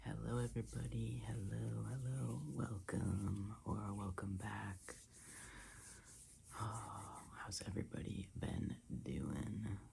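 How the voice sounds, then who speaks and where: Very slow and soft-spoken, a man with a very deep, low voice, dark and mellow in tone, talks in a relaxed tone with vocal fry and very wide pitch swings. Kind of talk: ASMR soft-spoken ramble. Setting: casual talk to camera about a book haul. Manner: soft-spoken, relaxed, chatty.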